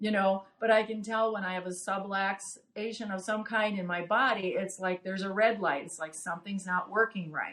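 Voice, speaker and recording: This woman has an ordinary speaking voice at a medium pitch. She talks at a moderate pace with hardly any pauses and fairly even intonation. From Wisconsin, US Midwest. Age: 60s. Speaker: chiropractic patient. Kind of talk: interview.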